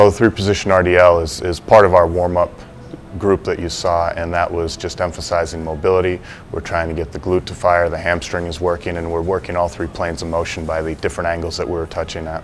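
Faint music plays behind a man with a very deep, low voice. He talks at a fairly quick pace in a monotone, flat intonation. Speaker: strength coach. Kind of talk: interview answer. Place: gym.

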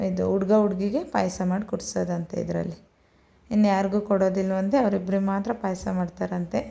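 A woman's medium-pitched voice has a dark, mellow tone and fairly even intonation. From Karnataka, Hassan area. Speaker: vlogger. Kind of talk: show-and-tell vlog. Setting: at home. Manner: casual.

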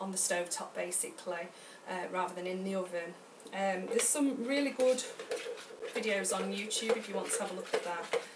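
A woman talks at a fairly quick pace over loud background noise. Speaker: home cook vlogger. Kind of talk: tutorial. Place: kitchen. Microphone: camera far.

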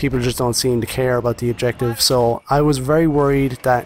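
There is noticeable background noise behind the speech. A man talks at a fairly quick pace, at medium pitch, with fairly even intonation. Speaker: gaming YouTuber. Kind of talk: video game review commentary over gameplay. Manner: casual, friendly, direct to audience.

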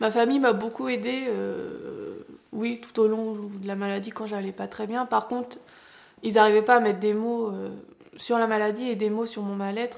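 The woman's delivery is monotone and flat. She keeps a moderate pace. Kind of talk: interview answer. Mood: serious, emotional, subdued. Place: home room.

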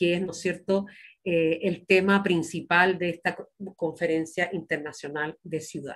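A woman's a normal speaking voice, with fairly low pitch and fairly even intonation. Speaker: workshop moderator. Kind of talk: formal welcome and introduction. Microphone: video call.

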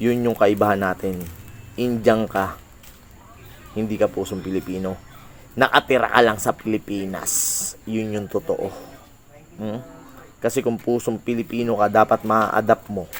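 A man's fairly low voice, broken by long, frequent pauses. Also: moderate pace. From Philippines. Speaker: reaction video creator. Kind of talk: commentary rant. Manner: animated.

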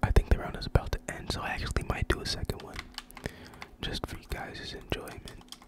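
The voice is whispering, in a relaxed tone. The pace is moderate. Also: man. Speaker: gaming ASMR creator. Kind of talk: ASMR gaming commentary. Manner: whispered, relaxed. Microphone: studio mic.

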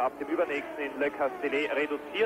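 A man with a German accent speaks fairly quickly in a calm tone and a fairly high pitch. Noticeable background noise sits behind him. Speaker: German race commentator. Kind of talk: live sports commentary. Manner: calm, informative, fairly measured.

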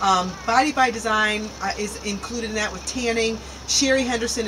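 The speech moves at a moderate pace with noticeable background noise behind it. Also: woman. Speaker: local show co-host. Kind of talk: reading community announcements. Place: waterside.

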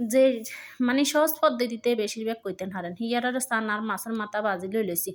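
On a very clean recording with a silent background, a woman talks at a fairly high pitch with ordinary pitch variation. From Lakshmipur, Bangladesh. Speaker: home cook, cooking vlogger. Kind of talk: cooking tutorial. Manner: casual, chatty.

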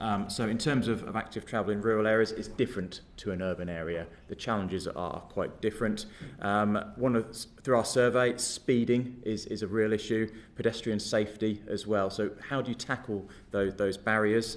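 A man with an ordinary speaking voice talks at a moderate pace. His pitch is fairly low and his intonation fairly even. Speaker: witness. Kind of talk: interview answer. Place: meeting room. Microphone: podium.

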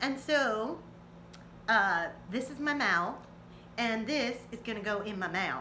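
Putting on a character voice with a Texan accent, a woman drawls at a fairly slow pace in a fairly high voice over clear background noise. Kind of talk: casual vlog chat. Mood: playful, relaxed.

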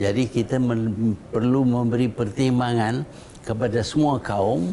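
A man at a very slow pace, with light background noise. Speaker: interviewee. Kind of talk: interview answer. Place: home room.

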